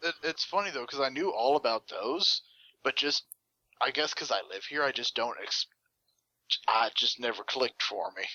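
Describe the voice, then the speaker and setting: A man speaks with a Texan accent. He leaves long, frequent pauses. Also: moderate pace. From Texas. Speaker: podcast co-host. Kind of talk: casual chat.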